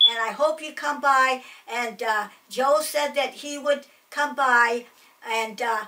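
This woman's high-pitched voice is raised and projected, with a tone both warm and bright and sharp. She talks at a fairly slow pace with fairly even intonation over light background noise. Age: 80s+. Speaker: family elder sending a message. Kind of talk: spoken video message to family friends. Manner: warm, affectionate. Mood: warm, affectionate. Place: home room.

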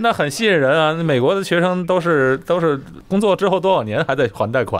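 A man speaks in a plain, everyday voice. His pitch is fairly high, and his intonation is lively. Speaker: video host. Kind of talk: casual interview chat. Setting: remote recording over the internet.

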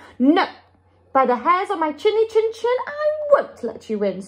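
A woman's squeaky, put-on character voice at an extremely high pitch, with very wide pitch swings at a moderate pace. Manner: defiant, frightened.

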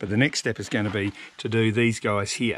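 In an unremarkable speaking voice, someone talks at a fairly quick pace over light background noise, with a dry sound and no echo. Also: man. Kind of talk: casual vlog tutorial. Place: street. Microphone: phone near.

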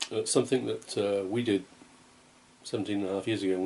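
A man's fairly low-pitched voice at a moderate pace, with light background noise. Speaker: home vlogger. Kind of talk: casual vlog chat. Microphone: phone near.

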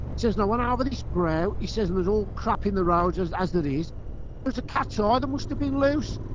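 A man's high-pitched, lively intonation at a fairly quick pace, dry with no echo, against noticeable background noise. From English Midlands. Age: 50s. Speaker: motorcyclist; motorcycle rider vlogger. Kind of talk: casual chat. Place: motorbike. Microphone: helmet.

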